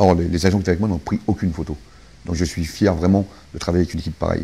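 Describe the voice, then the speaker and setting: A man talks at a very fast pace in a very deep, low voice with a dark, mellow tone, fairly even intonation and a somewhat breathy quality. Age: 60s. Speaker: security guard, terror attack witness. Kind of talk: interview testimony. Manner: halting, many repetitions.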